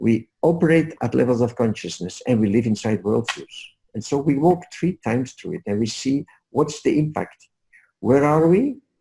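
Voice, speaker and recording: A man with a medium pitch and a dark, mellow, somewhat breathy tone speaks at a moderate pace, his intonation lively and his speech marked by long, frequent pauses. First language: Dutch. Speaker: leadership coach. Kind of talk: webinar presentation. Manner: soft-spoken. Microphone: headset microphone, too quiet.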